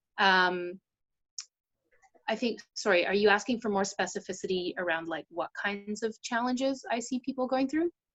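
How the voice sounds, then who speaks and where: In a Canadian accent, a woman talks at a moderate pace with lively intonation and a medium pitch. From Vancouver, Canada. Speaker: ADHD coach. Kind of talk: interview. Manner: hesitant, many fillers.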